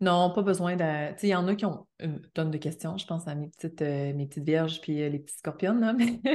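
Hardly pausing, a woman with an unremarkable speaking voice talks fairly quickly at a fairly low pitch with ordinary pitch variation. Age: 30s. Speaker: astrologer. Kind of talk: casual interview.

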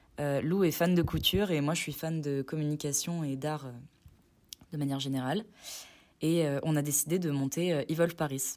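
A woman speaks at a moderate pace with long, frequent pauses, her pitch very deep and low, on a very clean recording with a silent background. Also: fairly even intonation. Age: 20s. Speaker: business student and clothing brand co-founder. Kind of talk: recorded testimony.

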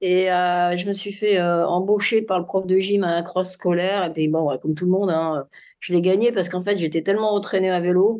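Fairly quick speech from a woman with a medium pitch, a dark, mellow tone and fairly even intonation against a quiet background. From France, Grenoble area (Alps). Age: 60s. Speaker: sports physiologist and running coach. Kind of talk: casual interview.

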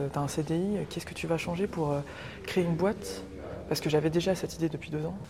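A woman's voice with noticeable background noise. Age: 30s. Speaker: travel agency founder. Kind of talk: casual interview. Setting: museum exhibition in Nantes.

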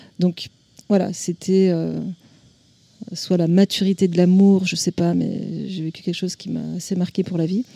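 A woman speaks fairly slowly in a dark, mellow, fairly low voice with monotone, flat intonation and long, frequent pauses. The sound is dry and close, with no echo. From French Alps (Chamonix). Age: 40s. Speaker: visual artist. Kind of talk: interview. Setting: art exhibition at a clinic. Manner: hesitant, many fillers.

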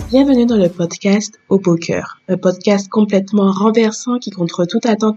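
Her dark, mellow tone sits at medium pitch as the woman speaks fairly slowly with fairly even intonation. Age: 30s. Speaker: podcast host. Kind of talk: scripted intro.

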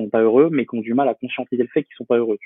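Medium male pitch with fairly even intonation. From France, Poitiers (Vienne). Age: 20s. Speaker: freelance photographer and entrepreneur. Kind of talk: podcast interview. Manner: hesitant, many fillers.

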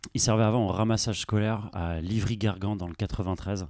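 A man with a fairly low pitch speaks on a very clean recording with a silent background. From Brittany, Brest. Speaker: entrepreneur. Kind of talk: interview. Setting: inside a parked bus. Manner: hesitant, many fillers.

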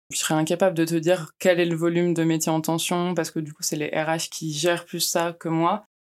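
A woman speaks at a fairly quick pace with a fairly low pitch and hardly any pauses. Her intonation is monotone and flat on a very clean recording with a silent background. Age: 20s. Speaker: international mobility officer. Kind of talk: interview.

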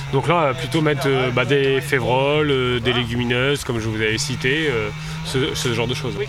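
A man at medium pitch in a monotone, flat intonation, with audible room echo and music in the background. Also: moderate pace. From northern France. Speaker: winegrower. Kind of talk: field interview. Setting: outdoors in vineyard.

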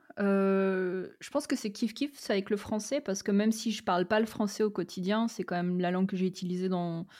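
The recording is very clean, with a silent background. A woman speaks at a moderate pace and medium pitch in a dark, mellow tone. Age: 30s. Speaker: role-playing gamer and game master. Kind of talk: interview. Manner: hesitant, many fillers.

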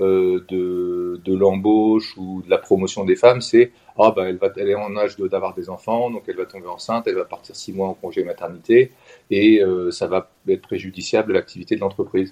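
A man's voice, moderate in pace, in a dry, close recording free of echo. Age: 50s. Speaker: professional coach, former consultant. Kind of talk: interview testimony. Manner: halting, many hesitations.

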